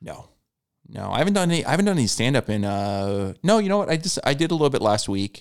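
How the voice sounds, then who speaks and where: The speaker races along very fast with an American accent, the pitch swinging very widely. The recording is very clean, with a silent background. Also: man, fairly high pitch for a man. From California. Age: 40s. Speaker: stand-up comedian. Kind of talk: casual chat.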